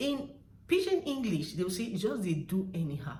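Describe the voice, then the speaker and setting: A woman speaks in a Nigerian accent at a fairly slow pace. Her pitch is medium, with very wide swings. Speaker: language tutor. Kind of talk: casual talk to camera.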